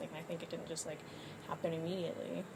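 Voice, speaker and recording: A woman with an American accent talks at a very fast pace, with noticeable background noise and audible room echo. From East Texas. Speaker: university student, atheist. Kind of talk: casual debate. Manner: hesitant, many fillers.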